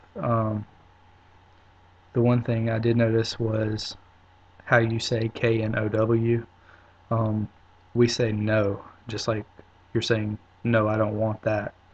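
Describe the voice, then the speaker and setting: In a South Carolina accent, a man speaks very slowly with long, frequent pauses, his medium-pitched, somewhat breathy voice monotone and flat. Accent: Southern US (South Carolina). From US South, upstate South Carolina. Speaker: video blogger. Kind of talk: casual video response. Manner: hesitant, many fillers.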